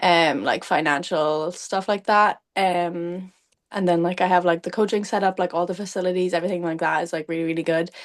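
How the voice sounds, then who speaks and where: A woman talks at a fairly quick pace in a Cork accent, her pitch fairly low. Her intonation is monotone and flat, against a quiet background. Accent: Cork Irish. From Ireland, County Cork. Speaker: athlete, runner. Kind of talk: casual interview chat. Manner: casual, hesitant with many fillers.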